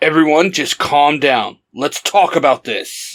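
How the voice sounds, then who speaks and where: A raspy, put-on character voice from a man, fairly high-pitched, fairly slow, with ordinary pitch variation. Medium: read story.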